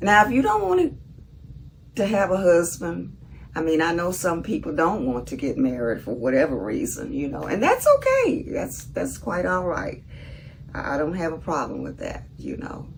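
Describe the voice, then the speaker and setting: A woman with a Southern US accent speaks at a moderate pace, with audible room echo and noticeable background noise. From US South, Mississippi. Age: 70s. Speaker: vlogger. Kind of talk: casual monologue.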